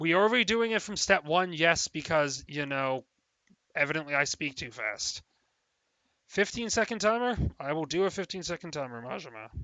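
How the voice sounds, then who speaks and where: A man's unremarkable speaking voice, fairly high in pitch, with lively intonation at a moderate pace. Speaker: trivia quiz host. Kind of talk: live quiz hosting on stream.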